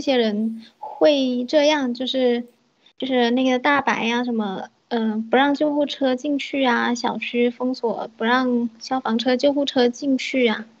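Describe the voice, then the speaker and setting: Speaking at a fairly slow pace, a woman uses a high pitch with fairly even intonation. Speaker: livestream call-in guest. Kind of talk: casual chat. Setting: online voice call.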